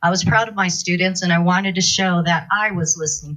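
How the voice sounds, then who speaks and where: An unremarkable speaking voice from a woman, fairly low in pitch, at a moderate pace. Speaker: school kitchen manager and food advocate. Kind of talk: public comment speech.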